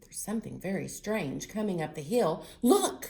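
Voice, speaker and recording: A woman puts on a character voice with a fairly low pitch. She talks at a moderate pace. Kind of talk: bedtime story. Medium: read story.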